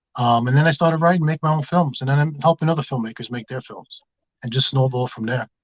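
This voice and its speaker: With a New York accent, a man talks at a very fast pace in a fairly high pitch, somewhat breathy, with ordinary pitch variation, big swings in loudness and a dry, close sound with no echo. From Bronx, New York. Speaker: filmmaker. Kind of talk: casual interview.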